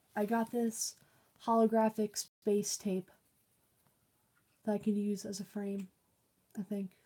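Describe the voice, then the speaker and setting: A woman speaks at medium pitch in a dark, mellow, somewhat breathy tone, fairly slowly and with long, frequent pauses. Her intonation is monotone and flat, and the sound is dry and close with no echo. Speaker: streamer and artist. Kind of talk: casual chat.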